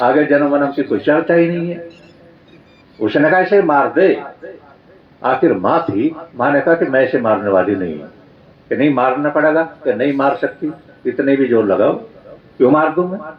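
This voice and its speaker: With long, frequent pauses and lively intonation, a man speaks in a fairly high pitch over noticeable background noise. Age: 70s. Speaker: Arya Samaj swami and preacher. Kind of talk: religious discourse.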